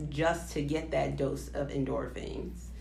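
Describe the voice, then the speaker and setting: Audible room echo is heard around the voice. The speaker is a woman. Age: 20s. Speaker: nurse, podcast co-host. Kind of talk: casual chat.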